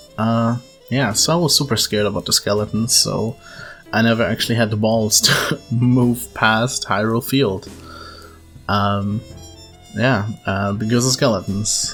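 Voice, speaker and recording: Someone with a non-native accent talks at a fairly slow pace, leaving long, frequent pauses. Music plays in the background. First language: non-native English speaker. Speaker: gaming video creator. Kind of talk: casual gaming commentary. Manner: rambling, hesitant.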